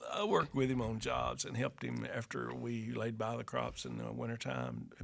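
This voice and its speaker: A man speaks at a fairly quick pace with an Arkansas accent. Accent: US Southern (Arkansas). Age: 70s. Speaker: retired farmer and carpenter, father of the host. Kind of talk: casual chat. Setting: workshop. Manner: halting.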